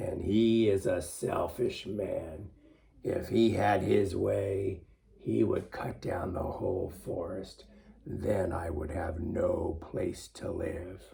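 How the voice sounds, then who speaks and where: In a put-on character voice, a man speaks raspy and fairly low at a very slow pace. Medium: read story.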